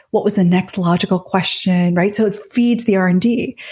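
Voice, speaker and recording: A woman talks with a somewhat breathy voice and ordinary pitch variation. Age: 50s. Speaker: business author and management thinker. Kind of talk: interview conversation.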